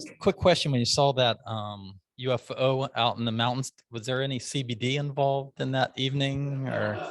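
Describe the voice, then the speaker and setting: A man with an American accent speaks at a medium pitch with fairly even intonation and hardly any pauses. The sound is dry and close, with no echo. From US Midwest, Des Moines, Iowa. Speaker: meeting host at a speaking club. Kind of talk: club meeting talk with speaking tips. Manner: fast.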